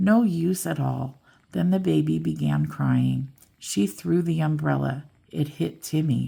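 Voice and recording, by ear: Someone reads aloud here in a natural voice.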